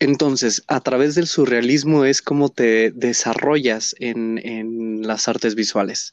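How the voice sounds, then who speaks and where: Fairly even intonation from a man, at a very slow pace. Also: medium pitch for a man, hardly any pauses. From Mexico, Hidalgo. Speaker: podcast host. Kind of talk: interview conversation. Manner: halting.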